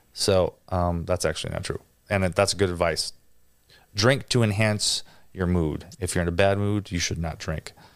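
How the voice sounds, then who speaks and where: The recording is very clean, with a silent background. The speaker goes at a moderate pace with fairly even intonation. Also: man, very deep, low pitch for a man. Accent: American. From Wisconsin, near Green Bay. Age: 30s. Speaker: drummer and producer. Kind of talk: casual interview chat. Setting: studio.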